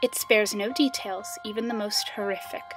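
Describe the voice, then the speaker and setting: Music sits in the background while a woman talks at a moderate speed. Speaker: creepypasta narrator. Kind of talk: horror story narration. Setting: music background.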